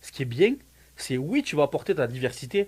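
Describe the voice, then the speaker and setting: A somewhat breathy man's voice, fairly high in pitch, with lively intonation at a moderate pace. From France. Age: 30s. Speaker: student, immigrant, former soldier. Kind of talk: casual interview. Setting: Facebook live.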